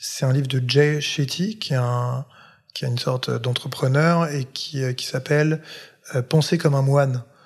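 Speaking at a fairly slow pace, a man has an unremarkable speaking voice. His pitch is fairly high and his intonation fairly even. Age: 30s. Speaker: content creator. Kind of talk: interview.

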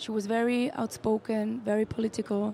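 This woman's voice is fairly high, somewhat breathy, and dark and mellow in tone. She talks at a very slow pace. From Switzerland, Tamil Sri Lankan parents. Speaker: singer. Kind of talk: interview. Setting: festival radio broadcast.

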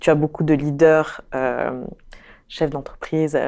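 Very deep, low pitch from a woman, dark and mellow in tone and monotone, flat in intonation, on a very clean recording with a silent background. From Morocco. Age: 30s. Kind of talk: interview. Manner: hesitant, many fillers.

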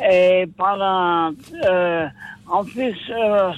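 With ordinary pitch variation, a man's voice sits at a high pitch. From Paris region, France. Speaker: caller. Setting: phone call.

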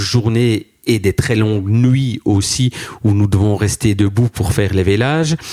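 In an ordinary speaking voice, a man talks at a fairly slow pace with fairly even intonation and a fairly low pitch, recorded dry and close with no echo. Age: 50s. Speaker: farmer. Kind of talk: interview.

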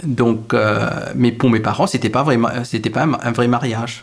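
Speaking fairly slowly, a man holds a medium pitch with ordinary pitch variation. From Mauritius. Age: 30s. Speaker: internet researcher. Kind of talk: personal storytelling interview. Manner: halting, many repetitions.

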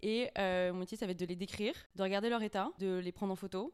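Medium-pitched woman with fairly even intonation. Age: 20s. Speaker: auction house cataloguer. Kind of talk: casual interview.

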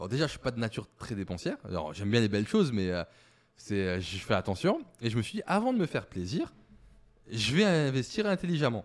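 At a fairly quick pace but with long, frequent pauses, a man of medium pitch makes very wide pitch swings. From eastern France, Moselle mining area. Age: 30s. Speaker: startup founder. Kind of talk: interview.

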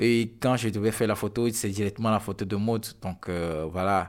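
A man speaks at a fairly low pitch with fairly even intonation. The recording is very clean, with a silent background. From Togo. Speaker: photographer. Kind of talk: interview. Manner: halting.

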